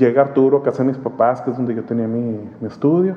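A man is talking. There is noticeable noise in the background. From Monterrey, northern Mexico. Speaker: graphic artist. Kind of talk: casual interview chat. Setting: at his home.

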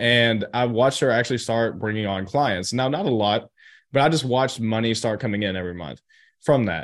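Against a quiet background, a man talks at a fairly quick pace with a medium pitch and ordinary pitch variation. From US South, Chattanooga, Tennessee. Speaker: entrepreneur. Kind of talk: interview.

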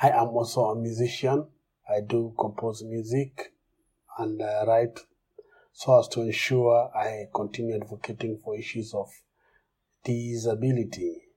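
Delivered in a Kenyan accent at a fairly slow pace, the voice has a dark, mellow tone, is somewhat breathy, stays monotone and flat, and leaves long, frequent pauses. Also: man, medium pitch for a man. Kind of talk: personal testimony.

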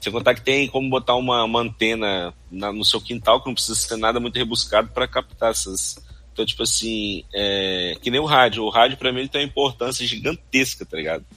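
At a fairly quick pace with hardly any pauses, a man speaks in an unremarkable speaking voice at medium pitch with ordinary pitch variation. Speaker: podcast co-host. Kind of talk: casual chat. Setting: live stream studio.

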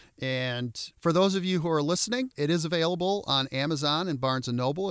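In a very clean recording with a silent background and a dry, close sound with no echo, a man with a Midwestern American accent speaks at a fairly quick pace with lively intonation. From Michigan (Detroit suburbs). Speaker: motivational speaker and podcast host. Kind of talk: podcast monologue. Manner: animated.

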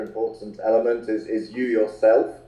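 Fairly even in intonation, a man speaks with a dark, mellow tone. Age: 40s. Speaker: health coach. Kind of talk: interview.

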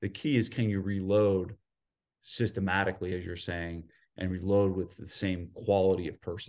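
A man with a New Jersey accent and a very deep, low pitch at a moderate pace against a quiet background. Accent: New Jersey American. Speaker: gym owner and fitness business coach. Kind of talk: casual interview chat.

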